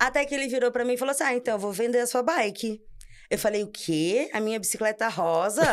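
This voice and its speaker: In a very clean recording with a silent background, a woman speaks at a fairly quick pace with a fairly high pitch, lively intonation and a normal speaking voice. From Brazil, São Paulo region (ABC). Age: 30s. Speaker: architect, amateur cyclist. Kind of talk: casual podcast interview.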